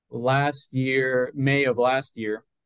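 Here a man speaks with an American accent. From South Florida, Colombian parents. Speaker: policy researcher. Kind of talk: interview. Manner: halting, many fillers.

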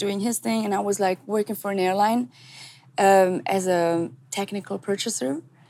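A woman speaks at a medium pitch and a moderate pace with a German accent. Her tone is dark and mellow, with ordinary pitch variation. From Switzerland. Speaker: singer, recording artist. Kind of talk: interview. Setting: outdoors, remote call.

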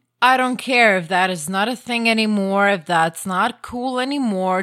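The intonation is lively. A woman is the one talking. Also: very clean recording, silent background. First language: Croatian. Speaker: podcast guest, host's wife. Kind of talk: casual chat. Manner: animated.

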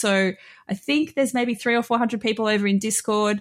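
A woman speaks in an unremarkable speaking voice. Her pitch sits fairly high, with ordinary variation. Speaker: guest, streamer. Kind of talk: casual chat.

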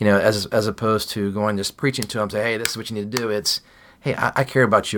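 A man with a fairly low pitch talks very fast. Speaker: food packing ministry director. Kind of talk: casual interview.

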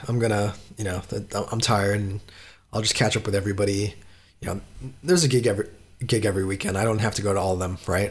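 This man's voice sits at a fairly low pitch. It is somewhat breathy. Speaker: metal podcaster and journalist. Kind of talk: interview.

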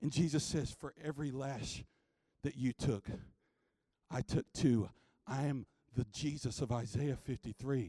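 With an American accent, a man speaks at a fairly slow pace with long, frequent pauses, his medium-pitched, somewhat breathy voice dark and mellow, showing ordinary pitch variation in a dry, close sound with no echo. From US South, North Carolina. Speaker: preacher. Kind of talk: sermon. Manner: animated.

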